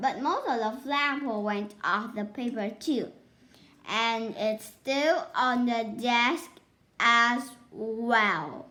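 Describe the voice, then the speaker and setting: Using a put-on character voice, a woman speaks at a very slow pace. Her pitch is high. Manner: very slow, phrasing each word, pointed.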